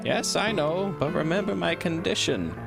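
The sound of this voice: A man's nasal, put-on character voice, high in pitch, at a moderate pace over loud music in the background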